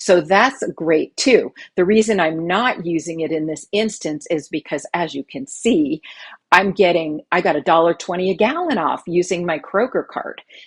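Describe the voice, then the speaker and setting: Heard in a dry, close sound with no echo, a woman speaks in a normal speaking voice at a fairly low pitch. Her intonation is lively and her pace moderate. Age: 60s. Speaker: money-saving video creator. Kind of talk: tutorial. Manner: casual, conversational with fillers.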